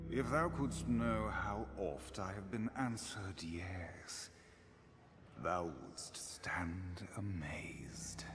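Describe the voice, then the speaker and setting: In a put-on character voice, a man talks very slowly at a very deep, low pitch with very wide pitch swings, over light background noise. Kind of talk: archaic theatrical speech. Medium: video game. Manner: grand, ceremonious.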